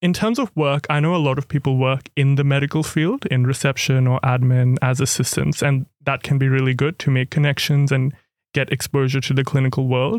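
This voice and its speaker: A man with a fairly high pitch talks at a fairly quick pace with hardly any pauses, very even loudness and fairly even intonation, in a dry, close sound with no echo. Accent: Australian. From far north Queensland, Australia (Cairns). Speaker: medical student. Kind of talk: podcast interview.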